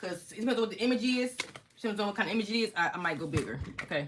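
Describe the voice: A woman talks at a very fast pace with lively intonation. Her medium-pitched voice has a fairly bright tone.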